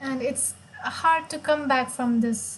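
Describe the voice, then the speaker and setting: A woman speaks in a high pitch with a Marathi accent. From India, Maharashtra. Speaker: chess player and streamer. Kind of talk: live stream chess commentary.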